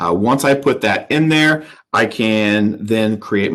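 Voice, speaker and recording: A man's fairly low voice with a bright, sharp tone at a very slow pace. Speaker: school technology instructor. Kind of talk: tutorial. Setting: live virtual town hall.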